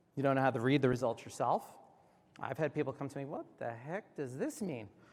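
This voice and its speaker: Speaking at a very fast pace, a man with an American accent has a fairly high pitch. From New York. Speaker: healthcare tech executive. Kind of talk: keynote speech. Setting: conference stage with audience.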